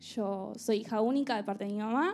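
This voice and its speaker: A woman is speaking. She has an Argentine accent. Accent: Argentine Rioplatense. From Argentina. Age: 20s. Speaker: churchgoer sharing testimony. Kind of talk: testimony. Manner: casual, humorous.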